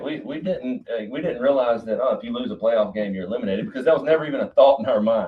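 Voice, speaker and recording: A man's very fast, animated delivery in a South Carolina accent, with noticeable background noise. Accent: Southern, South Carolina. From US South, Duncan, South Carolina. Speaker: college football head coach. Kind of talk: podcast interview.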